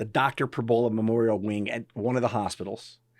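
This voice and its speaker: At a fairly quick pace, the speaker talks in a northeastern Pennsylvania accent on a very clean recording with a silent background. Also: man. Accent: northeastern Pennsylvania American. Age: 60s. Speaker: physician and practice owner. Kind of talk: interview conversation. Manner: casual, conversational with frequent fillers.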